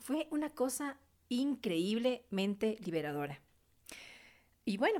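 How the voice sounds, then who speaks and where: This woman talks very slowly. Her pace stays very slow throughout. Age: 40s. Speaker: podcast host, beautician and massage therapist. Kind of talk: personal testimony monologue. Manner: hesitant, many fillers.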